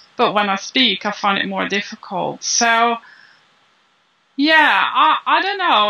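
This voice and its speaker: Speaking at a very slow pace with a non-native accent, a woman uses lively intonation and a bright, sharp tone. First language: not English. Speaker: business founder, copywriting teacher. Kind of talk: interview. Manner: halting, with repeated words.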